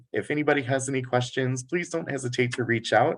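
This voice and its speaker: Moving at a fairly quick pace, a man with an American accent talks in an unremarkable speaking voice. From United States. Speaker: international recruitment manager. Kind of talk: presentation at virtual college fair.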